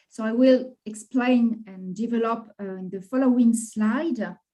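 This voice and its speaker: A woman speaks at a fairly slow pace. Her voice is high-pitched yet dark and mellow in tone. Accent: non-native. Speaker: HR management professor. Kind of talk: academic presentation.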